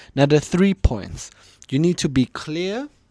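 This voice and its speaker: Recorded very cleanly against a silent background, a man with a German accent speaks at a moderate pace with ordinary pitch variation. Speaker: communication coach, YouTuber. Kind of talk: tutorial.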